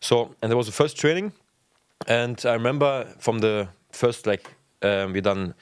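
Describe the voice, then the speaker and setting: A man with a German accent speaks at a moderate pace and medium pitch, with a dry sound with no echo and a quiet background. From Germany, Potsdam; Germany. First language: German (speaking Dutch). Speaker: professional footballer; guest. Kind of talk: casual chat. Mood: relaxed storytelling. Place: studio. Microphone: studio mic.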